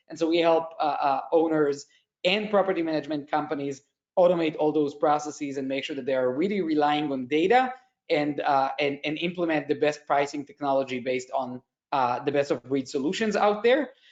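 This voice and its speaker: A man with an Israeli accent talks at a fairly quick pace and fairly high pitch, with ordinary pitch variation. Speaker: tech company executive. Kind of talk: conference panel presentation.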